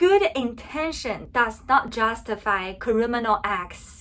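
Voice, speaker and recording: Her intonation lively and her pace fairly slow, a woman speaks with a Chinese accent. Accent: Mandarin Chinese accent in English. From China. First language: Mandarin Chinese. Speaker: political commentary vlogger. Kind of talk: opinion vlog monologue.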